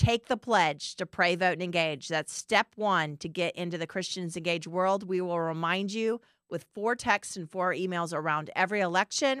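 A woman speaks in a plain, everyday voice at a moderate pace with hardly any pauses, recorded very cleanly against a silent background with a dry, close sound and no echo. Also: medium pitch for a woman, ordinary pitch variation. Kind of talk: solo teaching monologue.

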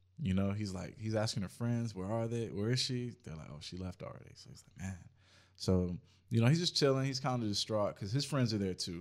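A man with an ordinary speaking voice talks at a fairly quick pace in a fairly low pitch, his loudness swinging widely while his pitch varies in an ordinary way. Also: very clean recording, silent background. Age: 20s. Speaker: photographer, videographer and musician. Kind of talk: casual chat.

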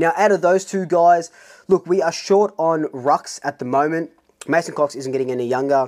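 The tone is energetic, with an Australian accent. The pace is moderate. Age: 30s. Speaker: football fan YouTuber. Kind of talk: solo vlog commentary. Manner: casual, energetic.

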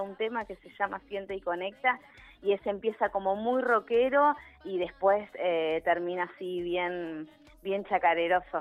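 Music plays in the background as a woman speaks at a fairly slow pace. Her pitch is medium, with ordinary variation. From Neuquén, Argentina. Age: 30s. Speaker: local musician. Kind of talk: radio interview.

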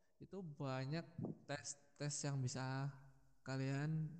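A man speaks with a dark, mellow tone and a fairly high pitch. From Sidoarjo, East Java, Indonesia. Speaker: recent university graduate. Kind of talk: casual podcast interview.

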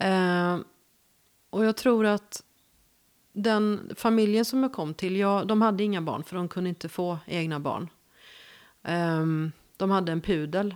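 A woman with a West Swedish accent speaks at a fairly slow pace with long, frequent pauses, her medium pitch showing ordinary variation, in a very clean recording with a silent background. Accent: West Coast Swedish. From Gothenburg, western Sweden. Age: 50s. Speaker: journalist. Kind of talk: casual interview.

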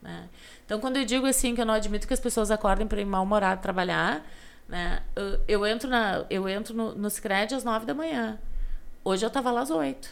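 A woman with a southern Brazilian accent, fairly high in pitch, at a fairly quick pace. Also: ordinary pitch variation. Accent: gaúcho Brazilian Portuguese. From Rio Grande do Sul, Brazil (western frontier, Alegrete). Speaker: podcast guest telling her life story. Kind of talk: casual interview chat.

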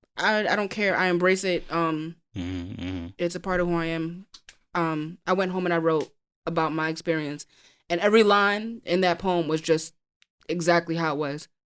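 In a very clean recording with a silent background, a woman speaks at a moderate pace with a fairly low pitch and fairly even intonation. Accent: New York. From Brooklyn, New York. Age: 20s. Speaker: poet. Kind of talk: casual chat.

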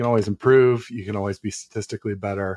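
His pitch is fairly low for a man. He speaks at a fairly quick pace. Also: dry, close sound with no echo. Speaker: sports podcaster. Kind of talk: casual call-in chat. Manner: clear-sounding.

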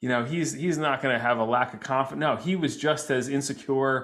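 A man talks at a fairly quick pace in an American accent. He has an unremarkable speaking voice at medium pitch with ordinary pitch variation. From New Jersey. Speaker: psychologist and comedian. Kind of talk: casual chat.

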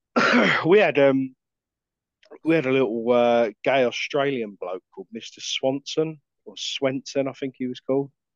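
A man speaks at a medium pitch. His loudness swings widely. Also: ordinary pitch variation, fairly slow pace. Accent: English. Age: 30s. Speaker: podcast co-host. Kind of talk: casual chat.

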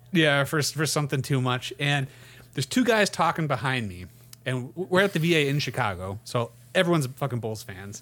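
A man in a normal speaking voice, fairly high-pitched, with lively intonation and a fairly quick pace. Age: 30s. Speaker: sports podcast host. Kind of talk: casual chat.

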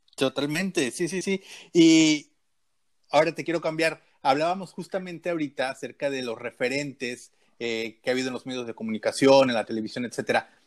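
An unremarkable speaking voice: a man at a fairly high pitch, going at a fairly quick pace with ordinary pitch variation. The sound is dry and close with no echo, on a very clean recording with a silent background. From Guadalajara, Mexico. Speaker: podcast host. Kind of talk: casual chat.

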